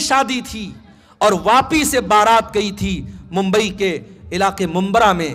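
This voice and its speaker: The voice is raised and projected, with a bright, sharp tone. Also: man. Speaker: Islamic preacher. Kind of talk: sermon. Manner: impassioned.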